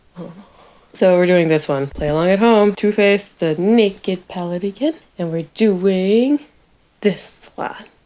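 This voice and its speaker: A woman speaks quietly at a fairly slow pace with a medium pitch. Her tone is dark and mellow, with ordinary pitch variation. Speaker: beauty vlogger and animal hospital worker. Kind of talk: casual makeup tutorial chat.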